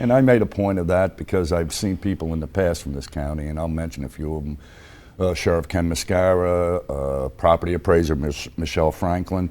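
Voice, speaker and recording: A man talks fairly quickly in a very deep, low pitch while noticeable background noise runs underneath. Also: ordinary pitch variation. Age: 60s. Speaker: county commissioner. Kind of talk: casual interview chat. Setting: studio with live audience.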